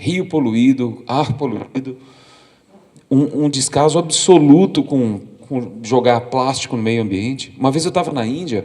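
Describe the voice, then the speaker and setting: A man speaks at a fairly slow pace with lively intonation and a medium pitch. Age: 40s. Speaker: documentary photographer. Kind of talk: lecture. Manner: halting, frequent repetitions.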